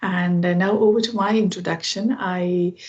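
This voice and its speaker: In a Keralan accent, a woman speaks at a moderate pace with a fairly low pitch and fairly even intonation. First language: Malayalam. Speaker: IT professional, English learner. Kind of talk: casual chat. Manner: halting.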